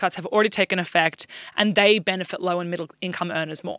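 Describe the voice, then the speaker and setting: Speaking at a fairly quick pace, a woman with an Australian accent uses ordinary pitch variation. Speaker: news podcast co-host. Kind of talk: casual news discussion.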